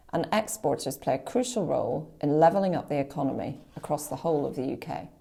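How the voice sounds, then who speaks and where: Speaking very fast in a Northern Irish accent, a woman has a very deep, low pitch, lively intonation and a dark, mellow tone. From Northern Ireland, County Antrim. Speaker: diplomat. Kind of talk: formal speech opening a webinar. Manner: formal.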